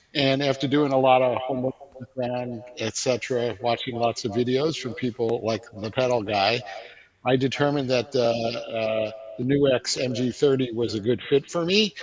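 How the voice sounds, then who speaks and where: With an American accent, a man speaks at medium pitch and a moderate pace, his intonation fairly even, over noticeable background noise. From New York. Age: 60s. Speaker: guitarist, customer. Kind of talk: livestream interview. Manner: hesitant, many fillers.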